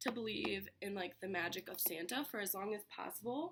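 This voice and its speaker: Her bright, sharp tone sits at a medium pitch as the woman speaks. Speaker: vlogger. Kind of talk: casual chat. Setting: at home, sitting on bedroom floor. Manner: chatty, informal.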